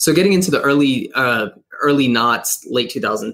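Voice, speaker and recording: A man talks in a normal speaking voice at a fairly high pitch. He keeps a moderate pace. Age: 30s. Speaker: marketing agency president. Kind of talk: interview.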